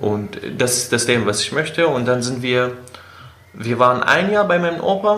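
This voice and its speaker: A man speaks at a medium pitch with very wide pitch swings. Audible room echo and noticeable background noise surround his voice. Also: moderate pace. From Syria, Aleppo (Kurdish). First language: Kurdish or Arabic (speaking German). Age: 20s. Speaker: engineering student and city tour guide. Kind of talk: interview, personal life story. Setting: in person. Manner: hesitant, many fillers.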